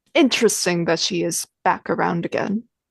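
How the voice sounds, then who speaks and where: A put-on character voice, female-sounding and gravelly, sits at a middle pitch and moves at a moderate pace. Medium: actual play. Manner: flat, non-committal, faintly menacing.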